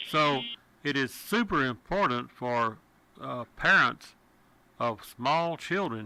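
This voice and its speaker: A man with a Texan accent has a bright, sharp, medium-pitched voice, heard on a very clean recording with a silent background. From Texas. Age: 70s. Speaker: radio talk show host. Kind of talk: talk radio.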